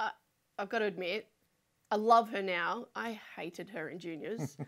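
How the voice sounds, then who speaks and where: A woman with a South Australian accent speaks at a fairly slow pace with long, frequent pauses, her medium-pitched, bright, sharp voice showing ordinary pitch variation and big swings in loudness on a very clean recording with a silent background. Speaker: sports podcast co-host. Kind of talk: casual chat. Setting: studio.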